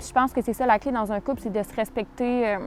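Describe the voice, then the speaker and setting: A woman speaks at a fairly quick pace, her fairly high pitch moving with ordinary variation. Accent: Quebec. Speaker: YouTuber. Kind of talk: Q&A vlog. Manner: fast; casual.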